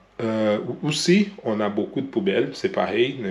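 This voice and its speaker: Over noticeable background noise, a man with a Brazilian accent talks at a very slow pace with ordinary pitch variation. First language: Portuguese (speaking French). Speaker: vlogger. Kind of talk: vlog monologue. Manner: halting, many hesitations.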